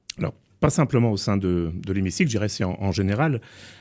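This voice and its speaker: At a very fast pace, a man speaks in a fairly low, dark, mellow voice, and the recording is very clean with a silent background. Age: 60s. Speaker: politician. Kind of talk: political debate. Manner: hesitant, many fillers.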